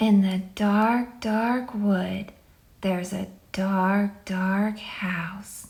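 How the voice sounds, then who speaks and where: Whispering at a very slow pace, a female-sounding voice performs a put-on character voice. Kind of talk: spooky storytelling.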